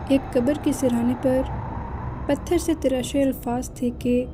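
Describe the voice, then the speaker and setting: Over noticeable background noise, a woman speaks with very even loudness. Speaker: storyteller. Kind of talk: horror story narration.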